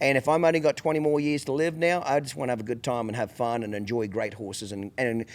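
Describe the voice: A man speaks at a fast pace with a medium pitch. His intonation stays fairly even.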